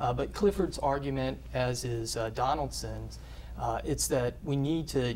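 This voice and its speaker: A man speaks with a Southern US accent. Audible room echo surrounds his voice. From US South. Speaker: professor. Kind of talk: interview. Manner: halting, many fillers.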